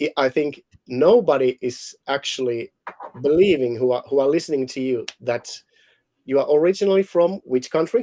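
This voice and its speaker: In a Finnish accent, a man with a fairly high pitch and a dark, mellow tone speaks in a dry, close sound with no echo. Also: ordinary pitch variation, moderate pace. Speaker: life coach and hypnotist. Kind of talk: casual chat. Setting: live video stream.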